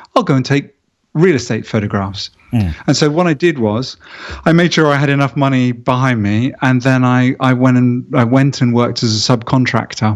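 A man speaks in an unremarkable speaking voice at a medium pitch. His pace is moderate and his pitch variation ordinary. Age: 50s. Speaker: real estate photographer. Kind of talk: interview.

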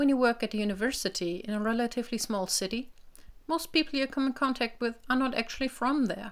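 On a very clean recording with a silent background, a woman with a German accent talks at a fairly quick pace, her pitch fairly high and its variation ordinary. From northern Germany, village near Hamburg. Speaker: linguistics researcher. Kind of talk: personal audio piece then casual conversation.

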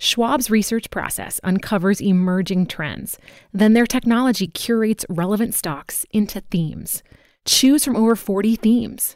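A woman with a plain, everyday voice speaks at a moderate pace, her pitch fairly high with ordinary variation. The recording is very clean, over a silent background. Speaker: ad and promo announcer. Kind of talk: ad read.

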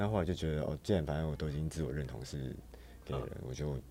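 The voice has a dark, mellow tone and vocal fry, moving at a very fast pace. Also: man. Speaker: emergency room nurse and go-go dancer. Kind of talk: casual interview.

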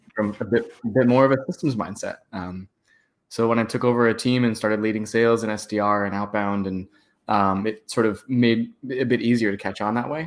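Speaking at a moderate pace and medium pitch, a man with a West Coast American accent keeps his intonation fairly even on a very clean recording with a silent background. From San Francisco. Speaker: startup founder and marketer. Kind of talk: casual interview.

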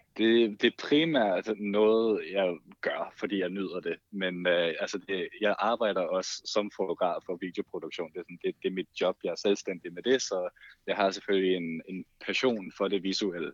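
Fairly slow speech from a man, the sound dry and close with no echo. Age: 20s. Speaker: TikTok creator and photographer. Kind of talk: casual chat.

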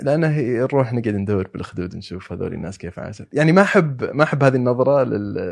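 Hardly pausing, a man speaks at a medium pitch with lively intonation and big swings in loudness. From Saudi Arabia, Eastern Province with Najran roots. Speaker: anthropology student and writer. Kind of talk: casual conversational interview. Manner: halting, with repetitions and fillers.

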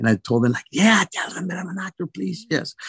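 A man speaks in a Venezuelan accent with ordinary pitch variation. The recording is very clean with a silent background and a dry, close sound with no echo. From Venezuela, Caracas. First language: Spanish. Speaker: actor. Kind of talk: interview. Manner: halting.

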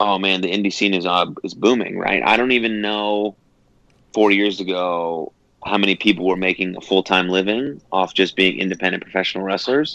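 A man's fairly low, normal speaking voice at a fairly quick pace, with fairly even intonation. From Texas (Dallas area), born in San Francisco. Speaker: pro wrestler. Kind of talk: casual interview.

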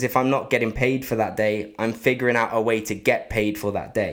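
In an English accent, a man speaks at a fairly quick pace with fairly even intonation. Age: 20s. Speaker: dancer and podcast host. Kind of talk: casual chat. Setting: home studio, Instagram live.

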